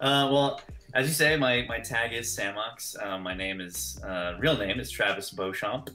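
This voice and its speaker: The speaker talks at a fairly slow pace with an American accent. Music plays in the background, and the room echo is audible. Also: man. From California. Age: 30s. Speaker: filmmaker. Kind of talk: podcast interview. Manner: hesitant, many fillers.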